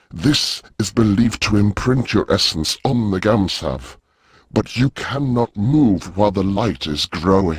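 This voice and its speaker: A man uses a put-on character voice. His pitch sits fairly low. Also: moderate pace. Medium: video game. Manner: formal, stilted grammar.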